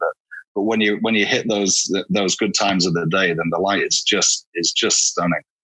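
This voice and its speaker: A man with a northern English accent speaks at a fairly quick pace in a fairly low voice. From northern England, Hull, Yorkshire. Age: 40s. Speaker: portrait photographer. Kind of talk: interview. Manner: hesitant, many fillers.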